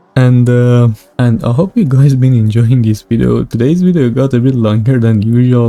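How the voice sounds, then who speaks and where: Recorded dry and close with no echo but with noticeable background noise, a man speaks at a moderate pace in a medium pitch with ordinary pitch variation. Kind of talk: game review commentary. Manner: loud.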